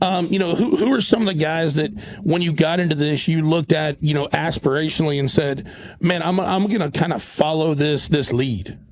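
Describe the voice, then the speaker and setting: A man with a Southern US accent speaks at a fairly quick clip in a fairly high pitch, with ordinary pitch variation and noticeable background noise. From North Carolina. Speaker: podcast host. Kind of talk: casual interview.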